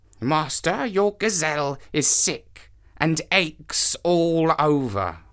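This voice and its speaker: Lively intonation at a very slow pace. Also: woman, very deep, low pitch for a woman. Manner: grim, warning.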